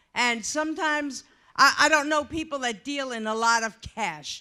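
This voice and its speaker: A woman with an American accent speaks at a moderate pace in a high, bright and sharp voice, raised and projected, with lively intonation, on a very clean recording with a silent background. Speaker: audience member, former drug agent. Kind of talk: audience comment. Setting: audience at an event.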